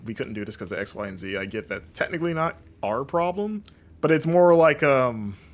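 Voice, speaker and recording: Speaking with an American accent, the man keeps a moderate pace and lively intonation. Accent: non-regional American. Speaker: streamer and games journalist. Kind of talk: gameplay commentary with chat. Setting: live stream.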